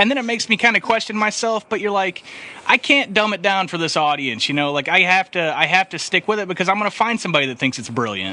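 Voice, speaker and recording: A man's high, raised and projected voice at a very fast pace, lively in intonation, with a dry, close sound and no echo. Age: 20s. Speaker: podcast host. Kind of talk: casual chat.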